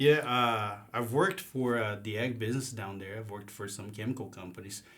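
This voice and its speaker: A man with a Brazilian accent talks fairly quickly at a medium pitch with ordinary pitch variation. His loudness swings widely. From southern Brazil, Paraná. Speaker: agricultural sales manager. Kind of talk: casual interview.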